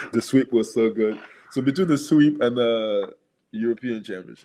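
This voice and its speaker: In a French accent, a man talks at a medium pitch with a dark, mellow tone and long, frequent pauses. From Gabon. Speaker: former basketball player. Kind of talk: podcast interview. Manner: halting, with self-corrections.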